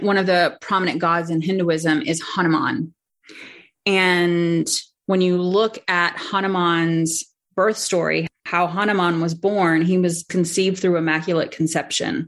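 In a normal speaking voice with an American accent, a woman talks at a fairly slow pace, her intonation fairly even and her loudness very even. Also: fairly low pitch for a woman. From North Carolina. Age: 40s. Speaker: human design teacher. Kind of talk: casual interview chat.

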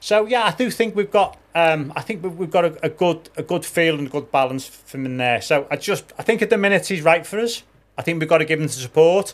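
At a fairly quick pace and with hardly any pauses, a man speaks in a high pitch, his loudness swinging widely. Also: ordinary pitch variation. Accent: Liverpool. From Liverpool, England. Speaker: demolition company owner. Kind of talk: casual chat.

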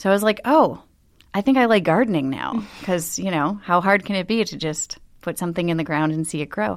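In an American accent, an ordinary speaking voice moves at a fairly quick pace with lively intonation. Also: woman, medium pitch for a woman. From Buffalo, New York. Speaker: flower business owner. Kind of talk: interview conversation. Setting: studio.

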